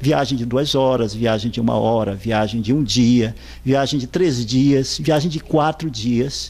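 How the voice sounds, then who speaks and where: Spoken at a fairly slow pace with ordinary pitch variation, the voice carries audible room echo. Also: man, medium pitch for a man. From Brazilian Amazon, Pará. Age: 60s. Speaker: writer. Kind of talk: interview. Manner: hesitant, with repeated fillers.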